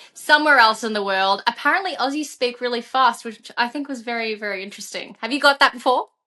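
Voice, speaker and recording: A woman with an Australian accent speaks in a high-pitched voice with a bright, sharp tone. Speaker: podcast host and musician. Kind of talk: casual interview chat. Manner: animated.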